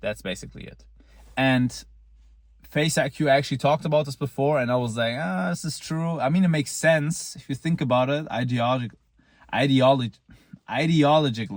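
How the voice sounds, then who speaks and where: A man with a non-native accent talks at a fairly quick pace and a medium pitch with ordinary pitch variation. His loudness swings widely. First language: not English. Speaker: looksmaxing vlogger. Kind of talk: casual monologue. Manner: halting, with repeated false starts; casual, blunt.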